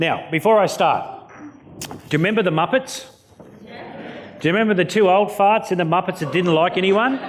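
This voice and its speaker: A man with an Australian accent and an animated tone, amid audible room echo and noticeable background noise. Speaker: motivational keynote speaker. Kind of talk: keynote speech. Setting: stage with audience.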